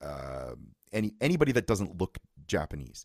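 Recorded with a dry, close sound and no echo, a man with a Canadian accent speaks at a moderate pace, vocal fry in his voice. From Ontario, Canada. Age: 40s. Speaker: musician and guitar teacher. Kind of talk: casual chat.

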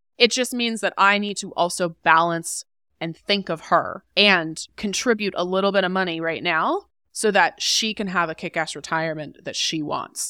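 A woman with a bright, sharp tone and a medium pitch talks at a moderate pace with ordinary pitch variation, on a very clean recording with a silent background and a dry, close sound with no echo. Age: 20s. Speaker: money and career expert, author and podcast host. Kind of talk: casual interview.

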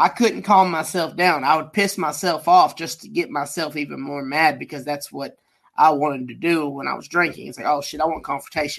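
Against a quiet background, a man with vocal fry speaks at a fairly quick pace and a fairly high pitch, with ordinary pitch variation and big swings in loudness. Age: 30s. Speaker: podcast co-host. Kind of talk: casual chat.

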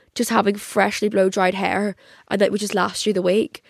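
A very fast woman's voice with a Northern Irish accent, medium in pitch and marked by vocal fry. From Northern Ireland. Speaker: podcast host. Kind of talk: casual chat. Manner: animated.

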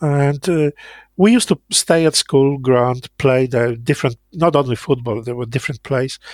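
A man's medium-pitched voice in a Polish accent, moderate in pace with ordinary pitch variation, dry and close with no echo, in a very clean recording with a silent background. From Poland, Lower Silesia. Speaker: interviewee recounting Cold War childhood. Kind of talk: oral history interview. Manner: halting.

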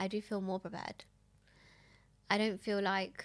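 Vocal fry runs through this woman's medium-pitched voice. She talks at a very fast pace. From Essex, England. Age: 30s. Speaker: widow and single mother, guest. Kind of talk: emotional personal interview about grief. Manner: emotional, raw, somewhat nervous.

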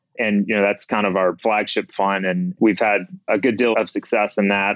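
This man's voice sits fairly low. He talks at a moderate pace. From Mississippi. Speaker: crypto fund manager. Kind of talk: interview.

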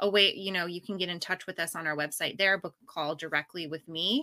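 Bright and sharp in tone, a woman with an American accent speaks with ordinary pitch variation on a very clean recording with a silent background. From US Pacific Northwest. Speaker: public relations business founder. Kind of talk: interview conversation. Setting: home office.

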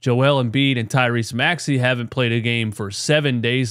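Here is a plain, everyday voice: a man at a medium pitch with fairly even intonation and a moderate pace. The recording is very clean, with a silent background. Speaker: sports podcast host. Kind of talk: casual sports talk, post-game show. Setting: live stream. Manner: casual, conversational.

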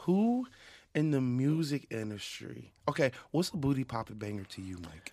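A man with a medium pitch and a dark, mellow tone speaks at a moderate pace, his pitch swinging very widely and his loudness shifting a lot. The recording is very clean, with a silent background. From Philadelphia, US. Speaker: music producer. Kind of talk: casual chat. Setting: studio. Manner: halting, many repeated words.

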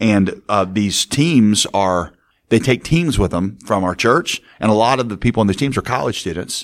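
Fairly low pitch from a man with a normal speaking voice, lively intonation and a moderate pace, over a silent background in a very clean recording. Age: 40s. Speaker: pastor. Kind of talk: interview conversation.

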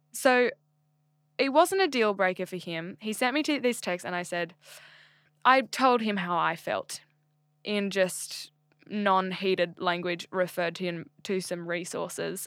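A woman with an Australian accent speaks at a fairly slow pace, leaving long, frequent pauses. Her pitch is medium with ordinary variation, on a very clean recording with a silent background. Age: 20s. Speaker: podcast host. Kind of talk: casual chat.

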